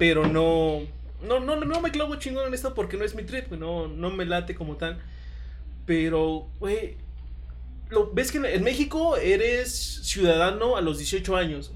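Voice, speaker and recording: A man with a Mexican accent speaks at a fairly slow pace, with audible room echo and noticeable background noise. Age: 20s. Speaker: lawyer and league organizer. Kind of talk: casual chat.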